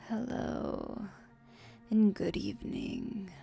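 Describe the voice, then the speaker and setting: A woman uses a put-on character voice at a medium pitch. Clear music plays in the background. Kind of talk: ASMR roleplay. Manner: slow, soft-spoken.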